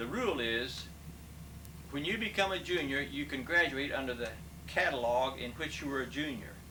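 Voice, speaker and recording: A man with an American accent speaks at fairly high pitch with lively intonation. There is audible room echo and noticeable background noise. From Kansas. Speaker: retired business professor. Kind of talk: interview. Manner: fast.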